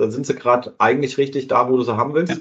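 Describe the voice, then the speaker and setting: This man has an unremarkable speaking voice at a medium pitch. He keeps his intonation fairly even. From southern Hesse. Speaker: podcast host. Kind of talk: casual interview.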